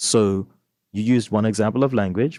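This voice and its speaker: A man with a Bermudian accent talks at a fairly quick pace in a dark, mellow tone with ordinary pitch variation, the sound dry and close with no echo on a very clean recording with a silent background. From Bermuda. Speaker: book club host. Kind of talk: discussion podcast.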